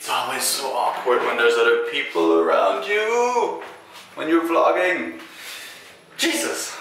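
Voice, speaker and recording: Light background noise and audible room echo around a man speaking at a moderate pace. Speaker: vlogger. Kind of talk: casual vlog chat. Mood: slightly awkward, relaxed. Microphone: phone near.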